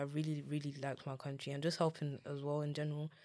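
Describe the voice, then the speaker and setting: A woman speaks with a London accent at a fairly quick pace. Her tone is dark and mellow. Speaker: content creator and dance teacher. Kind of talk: interview. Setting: studio. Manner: blunt.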